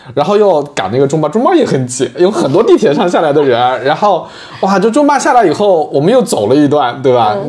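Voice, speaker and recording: Over noticeable background noise, a man talks in an animated tone at a fairly quick pace with very wide pitch swings. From southern Jiangsu countryside. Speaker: podcast host. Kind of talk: casual chat. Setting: studio.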